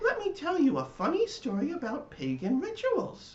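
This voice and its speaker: A man's put-on character voice, pitched extremely high. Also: moderate pace. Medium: read story.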